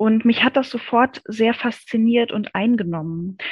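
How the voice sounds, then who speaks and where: Somewhat breathy, a woman talks at a fairly high pitch with ordinary pitch variation. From East Berlin, Germany. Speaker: communication consultant and researcher. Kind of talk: interview.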